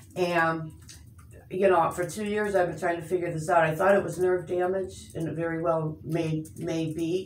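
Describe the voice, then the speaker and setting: A fairly low-pitched woman's voice in a monotone, flat delivery at a moderate pace, with audible room echo. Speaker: patient. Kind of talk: casual chat. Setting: doctor's office. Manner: halting.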